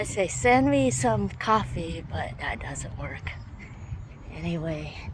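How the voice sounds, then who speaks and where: A woman speaks at a very slow pace with big swings in loudness, amid audible room echo and noticeable background noise. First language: not English. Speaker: vlogger. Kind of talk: casual vlog monologue.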